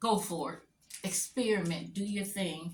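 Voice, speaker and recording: A woman speaks at a fairly slow pace. Her medium-pitched voice is somewhat breathy. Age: 60s. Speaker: crafter and stencil designer. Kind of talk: live craft tutorial. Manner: casual, chatty.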